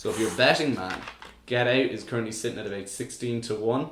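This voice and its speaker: A man talks at a fairly quick pace and medium pitch. Noticeable background noise and audible room echo surround him. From Ireland. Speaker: podcast co-host. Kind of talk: casual chat.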